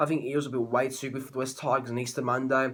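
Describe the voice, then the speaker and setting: This man speaks in an Australian accent at medium pitch. His pace is very fast. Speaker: sports tipping youtuber. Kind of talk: casual sports prediction monologue. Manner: halting, many fillers and restarts.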